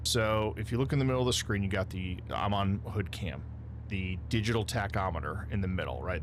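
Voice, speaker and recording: A man talks fairly quickly, with noticeable background noise and audible echo from the room. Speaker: sim racing streamer. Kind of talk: live gameplay stream commentary. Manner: loud.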